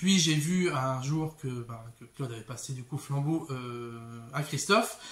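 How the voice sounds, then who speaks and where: This man's voice sits fairly high and is somewhat breathy, with ordinary pitch variation. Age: 30s. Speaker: bookseller. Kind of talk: casual vlog monologue. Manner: hesitant, many fillers.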